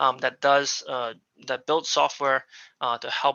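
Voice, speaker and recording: A man speaks with an American accent. His intonation stays monotone and flat. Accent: non-local, American. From United States. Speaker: aviation business executive. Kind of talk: presentation. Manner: halting, many fillers.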